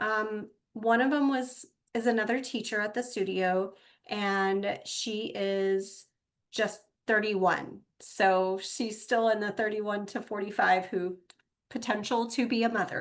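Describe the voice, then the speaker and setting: Fairly even intonation marks a woman talking in a plain, everyday voice. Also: fairly high pitch for a woman, fairly slow pace, quiet background. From Texas. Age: 50s. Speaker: podcast host and yoga studio owner. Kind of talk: personal podcast monologue.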